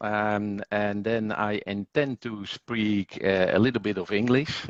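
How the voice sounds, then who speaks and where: The man speaks with a Dutch accent at a fairly low pitch. The sound is dry and close, with no echo. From Netherlands. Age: 50s. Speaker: language school executive. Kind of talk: interview. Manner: hesitant, many fillers.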